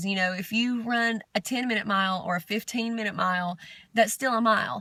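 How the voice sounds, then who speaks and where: A woman with a Southern US accent speaks at a fairly high pitch and a fairly quick pace. Her tone is bright and sharp, and the recording is very clean with a silent background. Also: fairly even intonation. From Southern United States. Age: 30s. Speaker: amateur runner. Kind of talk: video diary.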